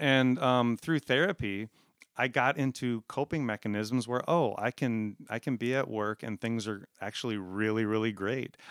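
In a dry, close sound with no echo and a very clean recording, silent background, a man with an American accent speaks at a moderate pace with an unremarkable speaking voice, medium pitch and ordinary pitch variation. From South Dakota, US Midwest. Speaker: chemical engineer and community theater actor. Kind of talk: interview, personal storytelling.

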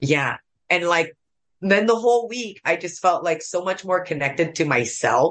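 Fairly low in pitch with ordinary variation, this woman has a normal speaking voice. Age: 40s. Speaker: stand-up comedian. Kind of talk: casual chat. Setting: at home, in her bathroom.

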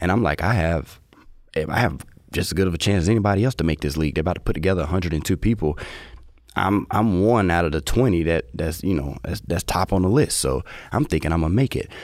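A man with an American accent talks very fast in a very deep, low voice, with lively intonation, vocal fry and very even loudness. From small town in the US. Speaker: professional esports gamer. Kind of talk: interview. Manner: halting.

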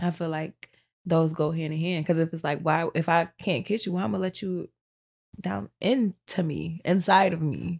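Speaking at a fairly low pitch, a woman uses an ordinary speaking voice. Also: ordinary pitch variation, moderate pace, dry, close sound with no echo. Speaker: rapper. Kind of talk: casual chat. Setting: studio. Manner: laughs often.

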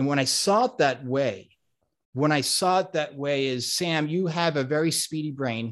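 A man speaks at a moderate pace with a fairly high pitch. His pitch varies in an ordinary way over a quiet background. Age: 40s. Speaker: coach and speaker. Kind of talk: casual interview conversation. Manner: halting, many repeated words.

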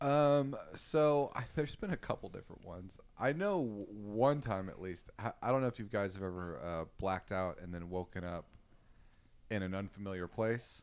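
Using a normal speaking voice, a man with an American accent speaks at a moderate pace, fairly low in pitch, with lively intonation. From Texas, Austin. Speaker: comedian and rideshare driver. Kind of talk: casual chat.

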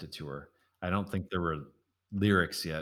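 On a very clean recording with a silent background, a man speaks in a very deep, low pitch. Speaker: musician and podcast host. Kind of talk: interview.

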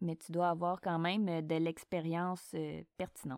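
On a very clean recording with a silent background, a woman speaks at a fairly slow pace and fairly low pitch. Her tone is dark and mellow, and the sound is dry and close with no echo. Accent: Quebec. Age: 30s. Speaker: podcast host, emergency dispatcher. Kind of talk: casual Q&A monologue.

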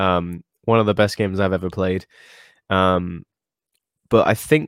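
Recorded very cleanly against a silent background with a dry, close sound and no echo, a man with a British accent speaks at a moderate pace in a very deep, low pitch. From UK. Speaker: guitar game streamer. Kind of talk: casual chat. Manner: halting, repeats words.

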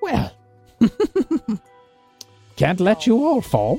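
A fairly high-pitched, put-on character voice with faint music in the background

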